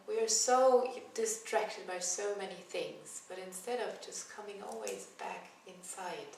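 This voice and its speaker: Amid noticeable background noise and audible room echo, a woman with a non-native accent talks at a fairly slow pace with hardly any pauses and big swings in loudness. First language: not English. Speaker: yoga teacher. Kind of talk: spiritual talk. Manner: hesitant, with fillers.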